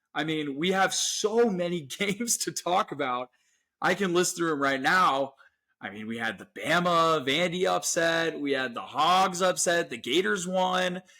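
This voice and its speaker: The voice has a bright, sharp tone and ordinary pitch variation, moving at a fairly slow pace on a very clean recording with a silent background. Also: man, high pitch for a man. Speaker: sports podcast co-host. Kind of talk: casual sports chat. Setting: podcast recording. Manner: animated.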